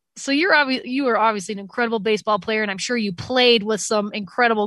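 A woman with an American accent talks at a very fast pace in a fairly high pitch with ordinary pitch variation, her voice dry and close with no echo on a very clean recording with a silent background. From Utah. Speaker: radio host. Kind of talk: casual interview chat.

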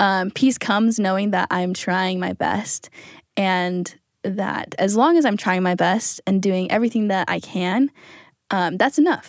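A woman with an American accent has an ordinary speaking voice at a medium pitch and a fairly slow pace. Her pitch variation is ordinary, and the recording is very clean with a silent background. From Utah, US. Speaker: student podcast team member. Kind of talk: reflective interview.

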